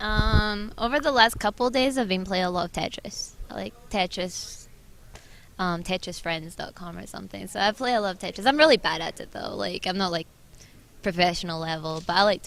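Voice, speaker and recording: Fairly quick, lively speech in a Scottish accent, with big swings in loudness. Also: woman, medium pitch for a woman. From Scotland. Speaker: esports team manager. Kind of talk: casual interview. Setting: convention hall.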